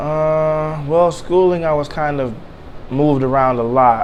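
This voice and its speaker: Fairly even intonation in an American accent, with audible room echo and noticeable background noise. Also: man. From Michigan, Detroit area (Inkster). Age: 30s. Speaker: interviewee sharing life story. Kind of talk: interview.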